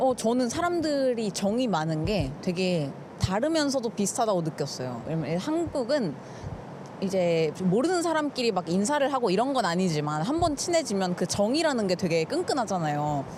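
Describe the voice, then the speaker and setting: A woman speaks at a moderate pace with a medium pitch and very wide pitch swings. Her loudness stays very even, and background noise is noticeable. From South Korea. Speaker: content creator. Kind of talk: street interview answer.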